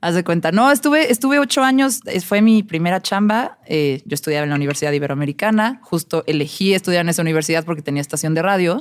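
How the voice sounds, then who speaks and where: Speaking at a very fast pace with hardly any pauses, a woman has a fairly low pitch and very wide pitch swings. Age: 30s. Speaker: music journalist and DJ. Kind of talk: casual chat.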